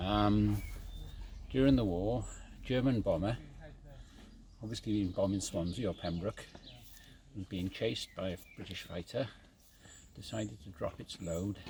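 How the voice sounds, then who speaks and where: A man's fairly low, somewhat breathy voice with big swings in loudness and long, frequent pauses. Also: ordinary pitch variation, moderate pace. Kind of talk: casual storytelling outdoors. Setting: outdoors.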